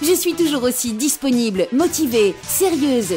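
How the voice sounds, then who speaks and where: Over background music, a woman talks very slowly in a high pitch with very wide pitch swings and a playful tone. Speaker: voice actor. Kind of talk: humorous self-promo talk in demo. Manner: playful, cheeky.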